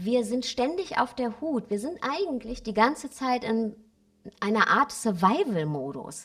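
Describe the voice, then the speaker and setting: Her intonation lively, a woman with an unremarkable speaking voice talks at a fairly slow pace and a fairly high pitch. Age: 40s. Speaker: spiritual coach and author. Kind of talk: interview.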